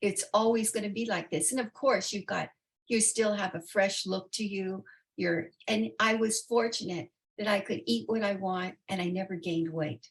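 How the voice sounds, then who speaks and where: With vocal fry and ordinary pitch variation, a woman speaks at a medium pitch and a moderate pace. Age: 80s. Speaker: interview guest, retiree. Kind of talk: interview answer.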